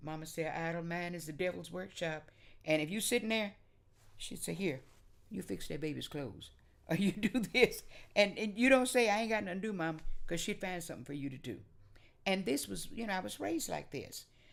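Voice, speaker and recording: Fairly quick speech with an American accent, vocal fry and lively intonation. There are long, frequent pauses and big swings in loudness. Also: woman, fairly low pitch for a woman. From Oklahoma. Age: 80s+. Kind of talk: oral history interview answer.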